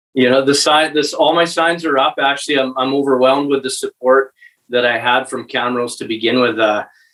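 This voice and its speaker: With an Albertan accent, a man speaks with fairly even intonation. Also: medium pitch for a man, fairly quick pace. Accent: Canadian (Alberta). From central Alberta, Canada. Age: 40s. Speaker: municipal election candidate. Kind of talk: interview. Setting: podcast recording. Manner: halting.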